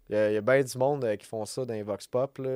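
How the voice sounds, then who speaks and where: A man in a Quebec accent, fairly quick pace and lively intonation, on a very clean recording with a silent background and a dry, close sound with no echo. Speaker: podcast host. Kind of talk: solo podcast monologue. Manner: rambling, many fillers and restarts. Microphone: new podcast microphone.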